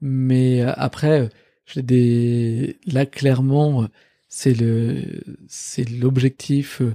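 At a very slow pace, a man of medium pitch speaks in a dark, mellow tone with monotone, flat intonation, the sound dry and close with no echo in a very clean recording with a silent background. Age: 30s. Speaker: startup founder. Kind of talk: casual interview. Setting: office.

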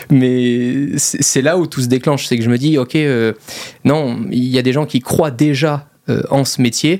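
A man's normal speaking voice at medium pitch, fairly slow, with fairly even intonation. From Monaco. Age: 20s. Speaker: YouTuber and entrepreneur. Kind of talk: casual interview.

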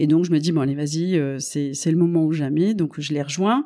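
Her voice has a dark, mellow tone, and this woman speaks at a fairly low pitch with ordinary pitch variation. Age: 40s. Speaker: company CEO. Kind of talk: interview. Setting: office. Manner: halting.

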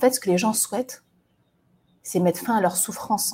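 A woman speaks at a fairly quick pace with lively intonation. Her voice is somewhat breathy. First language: not French (speaking French). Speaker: resilience coach and podcaster. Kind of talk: solo monologue. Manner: halting, with many hesitations.

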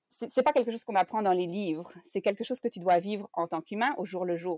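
A normal speaking voice from a woman at medium pitch, with ordinary pitch variation, in a very clean recording with a silent background and a dry, close sound with no echo. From Belgium. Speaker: translation project manager. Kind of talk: interview.

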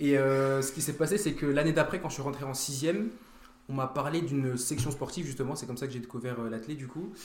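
A man talks at a very fast pace in a fairly high pitch, with ordinary pitch variation. Audible room echo surrounds his voice. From France, Vosges/Nancy area, early childhood in Germany. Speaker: track and field athlete. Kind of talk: casual chat.

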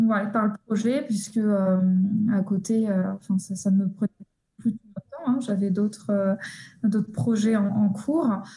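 A woman of medium pitch and fairly even intonation speaks at a very slow pace with long, frequent pauses, her somewhat breathy, dark, mellow tone held at a very even loudness. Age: 20s. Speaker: psychologist and researcher. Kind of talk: interview. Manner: halting, many repetitions.

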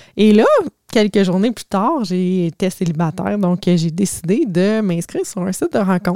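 A woman's tone is dark and mellow, with fairly even intonation. The sound is dry and close, with no echo. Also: medium pitch for a woman, moderate pace. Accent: Quebec. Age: 40s. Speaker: life coach. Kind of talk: casual storytelling monologue.

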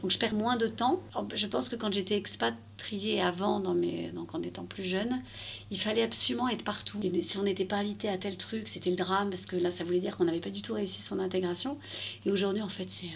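A woman speaks in an ordinary speaking voice at a medium pitch and a fairly quick pace. Her intonation is lively. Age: 40s. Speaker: expat mother. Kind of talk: interview.

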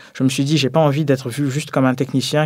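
Here a man speaks at a medium pitch. His intonation is flat and monotone. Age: 20s. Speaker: energy consultant. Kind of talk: testimony.

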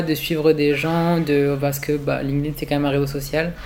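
Monotone, flat intonation marks this man's speech. He talks at a moderate pace. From rural France. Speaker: fashion design student. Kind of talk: interview testimony. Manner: halting.

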